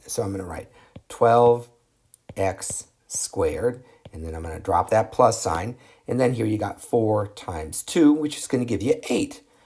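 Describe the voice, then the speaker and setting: A somewhat breathy male voice at medium pitch, fairly slow in pace, with lively intonation. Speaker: math teacher. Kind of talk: tutorial. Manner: animated.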